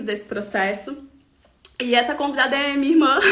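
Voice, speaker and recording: A woman raises and projects her voice, speaking at a moderate pace with ordinary pitch variation. Noticeable background noise and audible room echo fill the recording. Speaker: holistic therapist. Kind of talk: live stream talk. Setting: online live stream.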